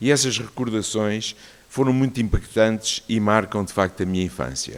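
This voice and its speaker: A man with a normal speaking voice talks in a fairly low pitch. He keeps a moderate pace with ordinary pitch variation. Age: 60s. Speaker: cardiologist giving a talk. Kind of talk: personal testimony talk.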